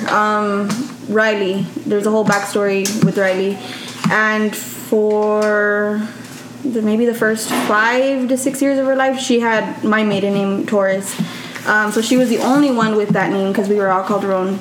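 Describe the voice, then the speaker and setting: The voice keeps a very even loudness and fairly even intonation, with audible room echo and noticeable background noise. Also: woman, fairly high pitch for a woman, moderate pace. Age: 20s. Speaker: parent of five. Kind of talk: casual chat.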